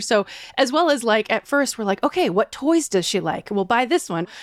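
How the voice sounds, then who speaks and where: A woman with an unremarkable speaking voice and a fairly high pitch speaks at a moderate pace in a very clean recording with a silent background and a dry, close sound with no echo. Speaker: dog owner. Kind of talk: casual chat.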